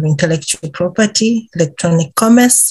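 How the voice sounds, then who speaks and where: At a moderate pace, a woman speaks in a somewhat breathy voice. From Uganda. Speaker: intellectual property policy advisor. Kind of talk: podcast interview answer. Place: office. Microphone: webcam.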